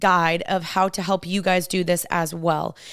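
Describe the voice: On a very clean recording with a silent background, a woman speaks fairly slowly in a medium pitch with a clear, smooth and fairly bright tone.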